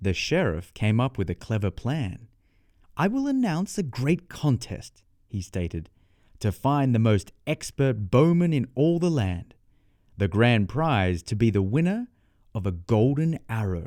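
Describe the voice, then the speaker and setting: With an Australian accent, a man speaks at a fairly slow pace in a dark, mellow tone with very wide pitch swings, on a very clean recording with a silent background. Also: medium pitch for a man. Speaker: storyteller. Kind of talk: children's bedtime story reading. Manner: clear, measured pace for learners.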